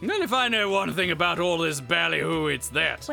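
Clear music plays in the background. Over it, a man uses a put-on character voice at a moderate pace. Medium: actual play. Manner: jaunty, chatty.

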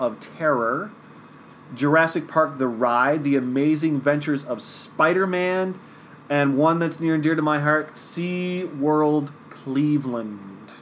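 A man talks in a normal speaking voice at a fairly high pitch. His pace is fairly slow and his pitch varies in an ordinary way. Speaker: podcast host. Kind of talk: casual chat.

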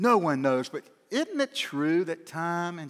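With lively intonation, a plain, everyday voice moves at a fairly slow pace in a very clean recording with a silent background. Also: man. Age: 60s. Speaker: pastor. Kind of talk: sermon.

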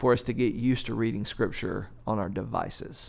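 A man with a plain, everyday voice at medium pitch speaks at a moderate pace in a very clean recording with a silent background. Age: 40s. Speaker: pastor on church podcast. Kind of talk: casual discussion.

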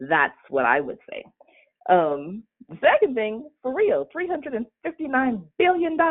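Very slowly, a woman speaks with very wide pitch swings. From Bahamas. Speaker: communication skills advisor. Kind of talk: casual chat. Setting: outdoors, walking.

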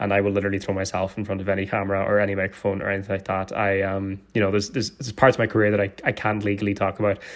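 Speaking in a Donegal accent at a very fast pace, a man keeps a monotone, flat intonation at a fairly low pitch on a very clean recording with a silent background. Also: hardly any pauses. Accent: Donegal Irish. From Ireland, County Donegal. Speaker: actor and internet comedian. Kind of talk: casual chat.

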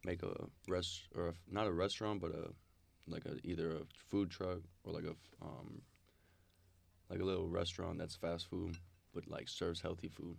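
A man's very deep, low voice in an American accent, flat and monotone, fairly quick yet broken by long, frequent pauses. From US, Minnesota. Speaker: college basketball player. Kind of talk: casual chat. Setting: campus studio.

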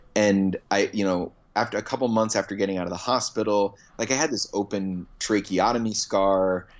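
Here is a man with a normal speaking voice and a fairly low pitch. His intonation is fairly even and his pace moderate. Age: 30s. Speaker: comedian. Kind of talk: casual chat. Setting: phone call.

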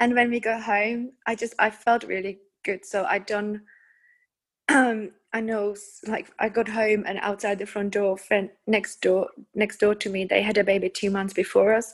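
Here a woman speaks at a fairly high pitch. Her intonation stays monotone and flat. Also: moderate pace. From Czech Republic. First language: Czech. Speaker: hypnobirthing teacher. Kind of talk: casual interview, personal birth story.

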